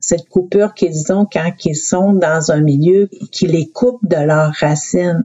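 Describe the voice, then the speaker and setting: The speech moves at a very slow pace. Its loudness stays very even. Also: woman, fairly low pitch for a woman, ordinary pitch variation. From Quebec North Shore, Innu community. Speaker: youth protection manager. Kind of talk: interview.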